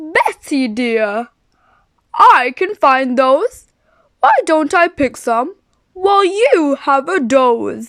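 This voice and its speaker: In a put-on character voice, the speaker goes at a very slow pace with long, frequent pauses. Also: woman, high pitch for a woman. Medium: read story.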